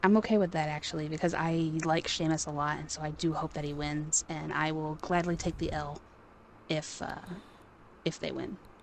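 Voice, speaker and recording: This woman is soft-spoken, with a very deep, low pitch. She talks at a moderate pace with fairly even intonation. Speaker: podcast co-host, wrestling fan. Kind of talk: casual chat. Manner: quiet, soft-spoken.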